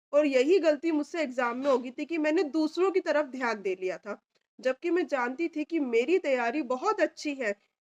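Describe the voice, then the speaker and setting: A woman speaks at a high pitch with lively intonation and hardly any pauses. The sound is dry and close, with no echo. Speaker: stenographer and steno tutor. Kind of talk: personal testimony.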